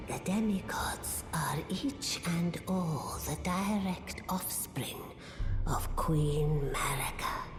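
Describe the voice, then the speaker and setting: A whispered, put-on character voice moves at a very slow pace. Clear echo and loud background noise fill the recording. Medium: machinima. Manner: solemn, portentous.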